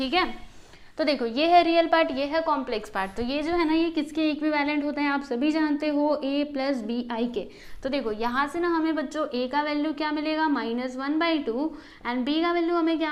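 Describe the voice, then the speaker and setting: A woman speaks at a moderate pace in a high voice with ordinary pitch variation, and the room echo is audible. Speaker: maths teacher. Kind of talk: tutorial. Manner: explanatory, repetitive teacher style.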